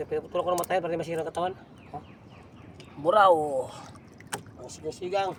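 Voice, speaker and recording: Speaking at a very fast pace with long, frequent pauses, a man with a high, monotone, flat voice shows big swings in loudness. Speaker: fishing vlogger. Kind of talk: casual vlog narration.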